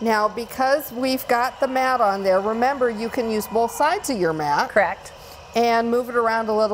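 Against light background noise, a woman talks with ordinary pitch variation. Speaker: product demonstrator. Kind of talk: tutorial. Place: studio. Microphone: lapel.

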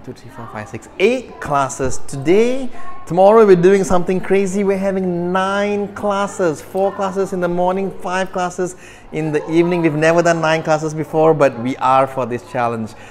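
A man speaks in a high voice with big swings in loudness. Faint music plays in the background. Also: moderate pace. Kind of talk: casual vlog chat. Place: gym. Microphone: phone near.

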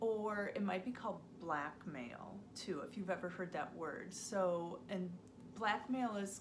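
Throughout, the clip carries an unforced reading voice.

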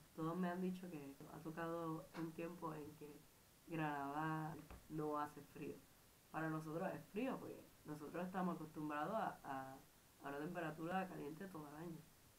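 A woman's very deep, low voice with fairly even intonation at a moderate pace, plus audible room echo. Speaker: exchange student vlogger. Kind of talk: casual vlog. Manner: halting.

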